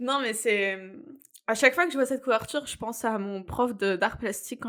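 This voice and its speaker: A woman with an unremarkable speaking voice, at a fairly quick pace and with ordinary pitch variation. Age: 20s. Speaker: book podcast co-host. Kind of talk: casual chat.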